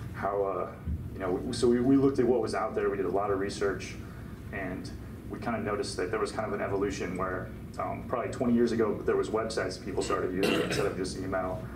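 Over noticeable background noise, a man with a fairly low pitch speaks very fast with fairly even intonation. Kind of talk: informal talk to a small audience. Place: meeting room.

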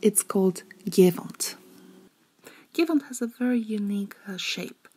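With a Polish accent, a woman talks at a fairly slow pace. Her tone is dark, mellow and somewhat breathy. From Zakopane, Poland. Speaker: tour guide. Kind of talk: read-aloud storytelling of a legend. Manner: hesitant, many filler sounds.

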